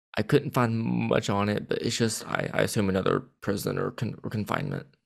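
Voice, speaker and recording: A man speaks quietly. His tone is enthusiastic. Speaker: podcast host. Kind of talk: casual chat. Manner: halting, stuttering; quiet but enthusiastic.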